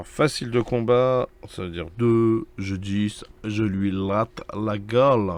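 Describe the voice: A man speaks at a slow pace with a fairly low pitch. His intonation stays fairly even.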